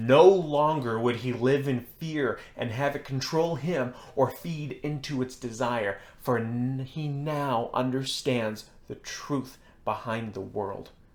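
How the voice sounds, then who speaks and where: A man uses a booming put-on character voice at a medium pitch. He speaks at a fairly slow pace with ordinary pitch variation. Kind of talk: sermon preaching. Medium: read story. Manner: inviting yet demanding.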